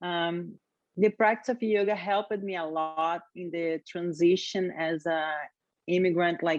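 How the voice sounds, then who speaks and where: With a Brazilian Portuguese accent, a woman speaks at a fairly slow pace and fairly low pitch, keeping her intonation fairly even. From Brazil, Rio de Janeiro. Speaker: yoga teacher. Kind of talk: interview.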